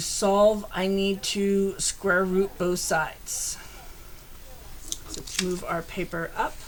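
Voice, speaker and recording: This woman talks at a very slow pace and a medium pitch. Noticeable background noise is audible. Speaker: math teacher. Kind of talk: tutorial.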